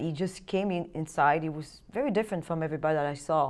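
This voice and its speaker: In a French accent, a woman talks at a very fast pace with a fairly low pitch. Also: quiet background. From France. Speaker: trafficking survivor and film producer. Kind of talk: interview testimony. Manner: halting.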